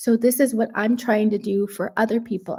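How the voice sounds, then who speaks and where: A woman with a Canadian accent speaks at fairly high pitch and a moderate pace, her tone dark, mellow and somewhat breathy. The recording is very clean, with a silent background. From Canada, Toronto. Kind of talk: live stream chat.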